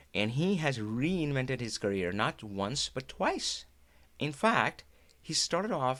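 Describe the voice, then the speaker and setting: Lively intonation marks the speech of a man with an Indian accent. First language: Hindi. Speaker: Power BI trainer and live show host. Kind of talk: live stream talk. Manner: animated.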